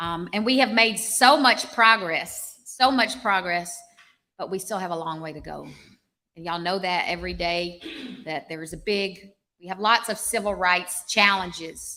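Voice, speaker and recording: Speaking at a moderate pace with a Southern US accent, a woman with a medium pitch and a bright, sharp tone shows ordinary pitch variation and big swings in loudness. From US South, Arkansas. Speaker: public health professor. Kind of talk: public speech.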